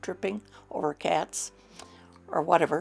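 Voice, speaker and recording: Over music in the background, a woman speaks with a very deep, low pitch. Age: 80s+. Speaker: documentary interviewee. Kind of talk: interview.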